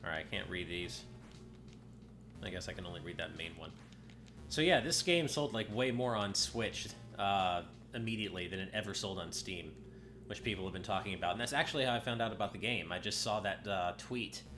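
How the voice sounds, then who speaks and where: A man with a fairly low pitch talks at a fairly quick pace with lively intonation. He takes long, frequent pauses, and music plays in the background. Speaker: game streamer. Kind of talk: casual gameplay commentary. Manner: hesitant with many fillers.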